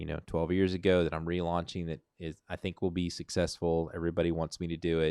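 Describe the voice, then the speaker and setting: Very clean recording with a silent background, where a man speaks at a fairly quick pace in a very deep, low voice. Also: dry, close sound with no echo. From Arkansas. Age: 50s. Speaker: vlogger. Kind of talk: casual livestream chat. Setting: livestream. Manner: loud.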